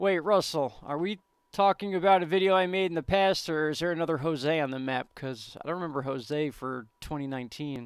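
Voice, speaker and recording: A man with an American accent, fairly high-pitched, talking at a fairly quick pace with hardly any pauses and ordinary pitch variation, on a very clean recording with a silent background. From New York (Yonkers). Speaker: weather YouTuber. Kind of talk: live stream chat. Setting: live stream. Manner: animated.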